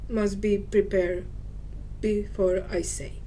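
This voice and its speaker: With a Serbian accent, the speaker goes at a very slow pace in a monotone, flat intonation, with audible room echo. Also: woman. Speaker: spiritual teacher. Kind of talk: monologue video talk. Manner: halting.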